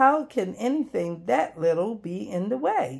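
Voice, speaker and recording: A woman's put-on character voice at a medium pitch, with very wide pitch swings. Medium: read story.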